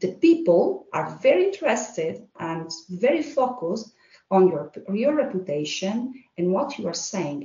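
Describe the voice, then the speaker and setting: A somewhat breathy woman at medium pitch speaks at a fairly slow pace, with very wide pitch swings. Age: 40s. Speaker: HR manager. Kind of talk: casual interview.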